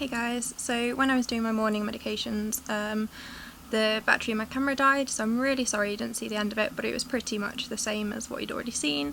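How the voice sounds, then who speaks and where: A very fast-talking woman with a fairly high voice, ordinary pitch variation and noticeable background noise. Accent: East Midlands. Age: 20s. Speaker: tube-fed patient vlogger. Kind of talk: casual vlog talk to camera.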